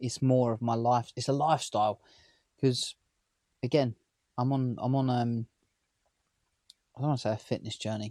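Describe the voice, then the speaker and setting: A man's medium-pitched, dark, mellow voice at a moderate pace, monotone and flat, with long, frequent pauses, a dry, close sound with no echo, and a very clean recording against a silent background. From near London, England. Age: 30s. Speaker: vlogger. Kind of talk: casual vlog talk to camera.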